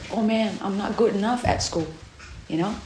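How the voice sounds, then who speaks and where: With a non-native accent, a woman speaks at a fairly high pitch in an animated tone with lively intonation, over noticeable background noise and audible room echo. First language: not English. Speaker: camp devotion speaker. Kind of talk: sermon.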